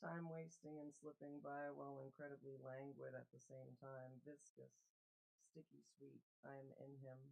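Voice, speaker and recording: A woman's very deep, low voice runs at a moderate pace with monotone, flat intonation. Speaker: poet. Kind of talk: poetry reading.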